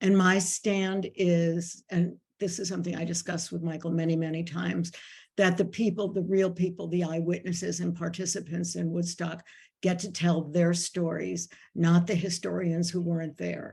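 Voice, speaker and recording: A woman's fairly low, dark, mellow voice, somewhat breathy, in a monotone, flat intonation. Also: moderate pace. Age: 70s. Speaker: moderator and festival historian. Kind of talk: panel discussion moderation. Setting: video call. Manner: informal.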